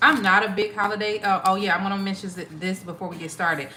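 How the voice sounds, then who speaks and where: Audible room echo surrounds a woman speaking with an American accent. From Ohio, US Midwest. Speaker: tarot reader. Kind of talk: live stream chat. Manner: casual, hesitant with fillers.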